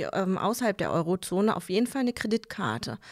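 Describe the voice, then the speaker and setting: On a very clean recording with a silent background and a dry, close sound with no echo, a woman at a medium pitch speaks very fast with vocal fry and ordinary pitch variation. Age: 30s. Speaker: bank advisor. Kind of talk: casual interview.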